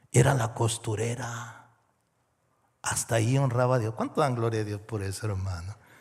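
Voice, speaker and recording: In a very clean recording with a silent background, a man with a medium pitch sounds somewhat breathy. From Mexico. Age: 60s. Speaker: pastor. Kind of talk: sermon.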